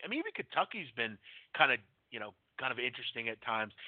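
Here a man speaks with an American accent. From Pennsylvania (Philadelphia area). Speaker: sports betting podcast host. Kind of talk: casual live radio chat. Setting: live call-in internet radio show.

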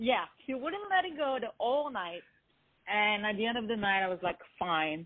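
A woman with a French accent speaks at a moderate pace with long, frequent pauses. Her fairly high pitch moves in very wide swings. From France, born in Lebanon. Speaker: R&B singer-songwriter. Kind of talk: interview.

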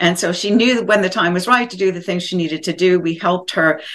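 A woman of medium pitch speaks with fairly even intonation in an unremarkable speaking voice. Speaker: co-host, former mayor and author. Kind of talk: casual interview.

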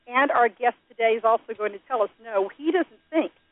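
A woman with an ordinary speaking voice, a fairly high pitch, and a moderate pace. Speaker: radio co-host, marketer. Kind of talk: radio talk show. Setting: studio.

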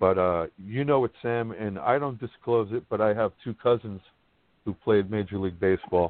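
A man speaks with a New York accent at a moderate pace. His pitch sits fairly low, with ordinary variation. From Brooklyn, New York. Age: 50s. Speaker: sports blogger. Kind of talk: roundtable discussion. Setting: live online podcast.

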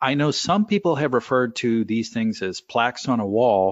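With an American accent, a man talks at a fairly quick pace in a normal speaking voice. His pitch is medium and his intonation lively. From California. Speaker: financial planner. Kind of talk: interview.

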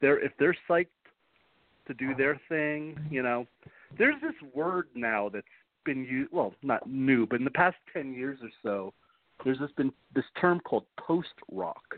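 Using a New York accent, a man talks at a moderate pace with a fairly high pitch, ordinary pitch variation, and long, frequent pauses. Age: 50s. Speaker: author. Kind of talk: interview. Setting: phone call.

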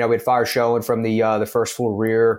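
A man's medium-pitched voice at a moderate pace. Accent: Philadelphia. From Philadelphia. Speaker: firefighter. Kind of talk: casual chat.

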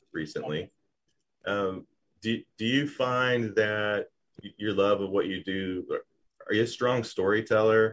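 A man talks at a fairly slow pace with a fairly low pitch. He uses ordinary pitch variation and long, frequent pauses. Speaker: business show host. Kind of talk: live interview show. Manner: loud.

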